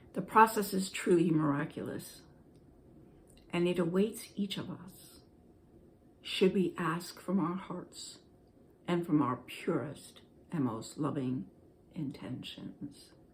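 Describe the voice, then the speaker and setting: A woman's fairly low, somewhat breathy voice with lively intonation, a very slow pace and long, frequent pauses. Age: 60s. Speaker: spiritual blogger. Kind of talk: casual talk. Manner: halting.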